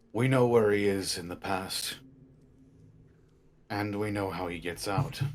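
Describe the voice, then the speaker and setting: Using a raspy, put-on character voice, a man talks at a fairly slow pace in a fairly low pitch with long, frequent pauses. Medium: actual play. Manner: earnest, resolute.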